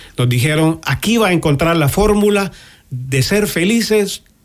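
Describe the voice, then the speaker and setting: A man is speaking. His intonation is lively. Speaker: guest sharing life testimony. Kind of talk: testimony. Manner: halting.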